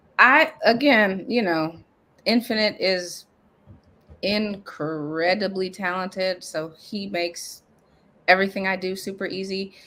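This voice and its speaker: A woman with an American accent speaks at a fairly slow pace with long, frequent pauses. Her medium-pitched voice has a bright, sharp tone and ordinary pitch variation. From Nebraska. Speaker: hip hop artist. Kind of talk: casual interview.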